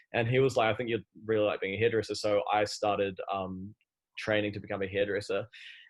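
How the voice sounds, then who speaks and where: A man's fairly low voice in a New Zealand accent, very fast and fairly even in intonation, against a quiet background. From New Zealand, Christchurch. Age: 30s. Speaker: fashion entrepreneur. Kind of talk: podcast interview.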